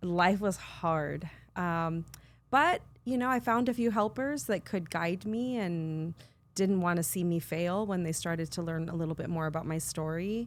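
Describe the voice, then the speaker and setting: With a Californian accent, the speaker uses lively intonation at a moderate pace in a very clean recording with a silent background. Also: woman, fairly low pitch for a woman. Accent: Californian American English. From US West Coast (San Fernando Valley, California). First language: Spanish. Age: 50s. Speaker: nonprofit CEO and social worker. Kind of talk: interview conversation.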